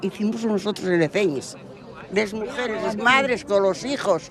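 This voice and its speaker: Crowd noise sits in the background as the speaker goes at a fairly slow pace. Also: woman. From Asturias, Valdesoto. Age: 80s+. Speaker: local villager. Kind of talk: street interview.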